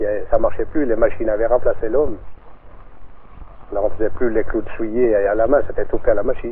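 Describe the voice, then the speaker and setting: A man talks at a fairly quick pace, broken up by long, frequent pauses. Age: 60s. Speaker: former nail maker. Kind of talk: interview testimony. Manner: halting.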